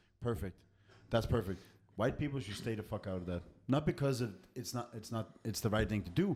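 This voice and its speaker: A somewhat breathy male voice at a medium pitch, fairly quick in pace, with lively intonation. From Scandinavia. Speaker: podcast co-host. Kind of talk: casual chat.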